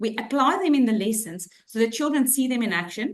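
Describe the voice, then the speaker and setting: A woman speaks with a South African accent. Her pace is moderate. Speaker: head of inclusion for a school group. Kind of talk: webinar presentation. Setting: online webinar.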